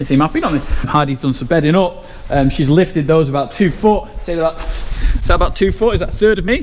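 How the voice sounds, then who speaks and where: Speaking at a very fast pace, a man uses a fairly high pitch with ordinary pitch variation. Noticeable background noise runs underneath. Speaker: farmer. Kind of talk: casual vlog narration.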